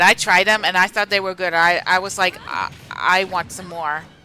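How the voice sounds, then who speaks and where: Here a woman talks at a moderate pace with an American accent. Music plays in the background. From Pennsylvania, US. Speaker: streamer. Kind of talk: casual live-stream chat while gaming. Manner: hesitant, many fillers and restarts.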